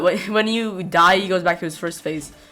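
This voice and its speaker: Music plays behind a woman speaking at a moderate pace. Her voice has a medium pitch. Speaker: gaming YouTuber. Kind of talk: gameplay commentary. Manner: stuttering, halting; casual, rambling with fillers.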